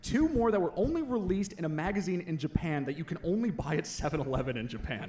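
A man's high voice at a very fast pace, with very wide pitch swings, hardly any pauses and noticeable background noise. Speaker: former co-host, returning guest. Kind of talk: casual banter.

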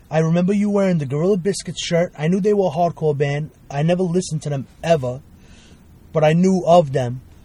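Speaking at a fairly quick pace, a man talks in a Brooklyn accent. His voice is high-pitched, with a dark, mellow tone. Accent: New York (Brooklyn). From Brooklyn, New York (Bensonhurst). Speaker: guest, hardcore music fan. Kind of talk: casual chat. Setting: in a car.

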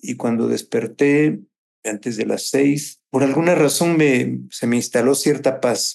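With ordinary pitch variation and a medium pitch, this man delivers his words at a very slow pace. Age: 60s. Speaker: political analyst and columnist. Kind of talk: interview testimony. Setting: video call.

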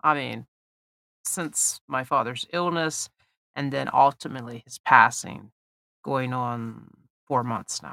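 A woman speaks very slowly with a very deep, low pitch and ordinary pitch variation. Her tone is bright and sharp, and the sound is dry and close with no echo. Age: 50s. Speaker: podcast host. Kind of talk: personal monologue.

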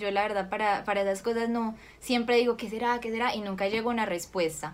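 A woman talks at a fairly quick pace and a fairly high pitch, in a monotone, flat intonation. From Colombia, Cali. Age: 20s. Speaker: actress. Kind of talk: interview.

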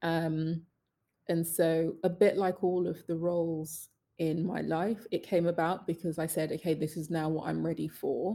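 Speaking with a British accent, a woman uses a fairly low pitch and a dark, mellow tone, delivering a monotone, flat intonation at a moderate pace. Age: 30s. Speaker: social entrepreneur. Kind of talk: interview.

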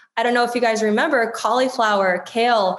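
A woman with an American accent talks at a fairly quick pace. Her intonation stays fairly even. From US East Coast, DC area. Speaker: marketing executive. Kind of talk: interview.

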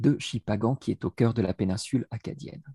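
A man speaks at medium pitch with a dark, mellow tone that is somewhat breathy and ordinary pitch variation. The sound is dry and close, with no echo. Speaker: education professor, researcher. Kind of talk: interview. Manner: hesitant, repeats words.

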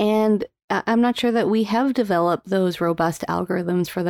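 A normal speaking voice, ordinary pitch variation, and a moderate pace. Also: woman. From Calgary, Alberta, Canada. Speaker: sleep physician and podcast host. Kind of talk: interview.

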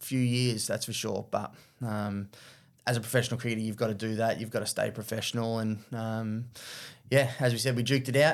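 Talking at a fairly quick pace, a man with an Australian accent keeps a medium pitch and a monotone, flat intonation. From Australia, Victoria. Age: 30s. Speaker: former professional cricketer. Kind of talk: interview.

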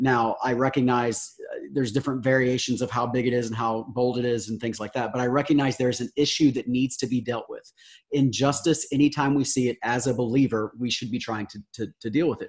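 A man with a normal speaking voice talks at a medium pitch and a fairly quick pace, with fairly even intonation. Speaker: pastor. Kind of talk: casual chat.

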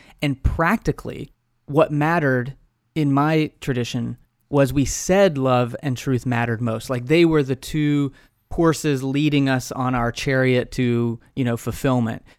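The recording is very clean, with a silent background. A man speaks in a normal speaking voice at a medium pitch, keeping a fairly slow pace and fairly even intonation. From Texas, Amarillo. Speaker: podcaster and author, former pastor and professor. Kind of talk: interview conversation.

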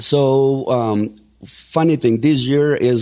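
A man talks in a Mexican accent. The recording is very clean, with a silent background. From Mexico. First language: Spanish. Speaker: real estate agent. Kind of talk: casual interview. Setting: studio. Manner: animated.

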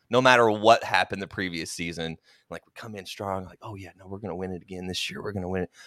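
A bright, sharp voice with an American accent, very fast pace, fairly even intonation and big swings in loudness, dry and close with no echo on a very clean recording with a silent background. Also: man, very deep, low pitch for a man. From Oklahoma. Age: 30s. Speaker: podcast host. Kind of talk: casual chat.

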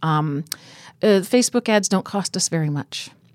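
An unremarkable speaking voice: a woman with a fairly low pitch talks at a moderate pace with ordinary pitch variation, in a dry, close sound with no echo on a very clean recording with a silent background. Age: 50s. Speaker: animal rescue founder. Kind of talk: interview. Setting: studio.

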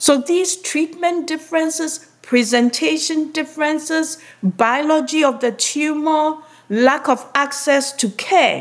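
Her voice sits high for a woman. She talks at a fairly slow speed. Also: ordinary pitch variation. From Ghana. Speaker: oncologist. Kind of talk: interview.

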